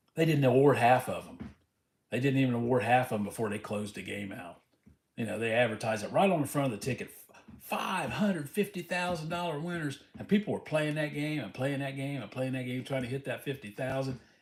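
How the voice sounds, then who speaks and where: This man, in an American accent, talks at a fairly quick pace with a medium pitch and lively intonation. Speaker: lottery scratch-off streamer. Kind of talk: casual livestream chat. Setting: livestream, reading chat.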